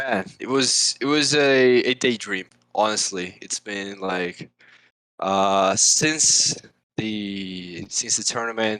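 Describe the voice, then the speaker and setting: A man speaks with a Portuguese accent and a bright, sharp tone. His pitch varies in an ordinary way. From Brazil, São Paulo. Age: 20s. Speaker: esports manager. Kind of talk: casual podcast interview. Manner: halting, many restarts.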